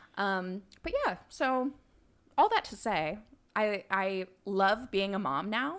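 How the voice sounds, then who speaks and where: With an American accent, the speaker talks at a very slow pace, leaving long, frequent pauses, the intonation lively. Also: woman, medium pitch for a woman. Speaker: podcast guest, young mother. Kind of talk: casual chat.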